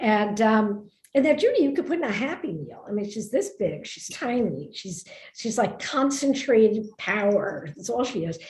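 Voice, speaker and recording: With an American accent, a woman talks at a moderate pace in a fairly high, somewhat breathy voice, her pitch swinging very widely and her loudness rising and falling in big swings. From New York, Brooklyn. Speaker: author. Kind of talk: conversational book talk. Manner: animated.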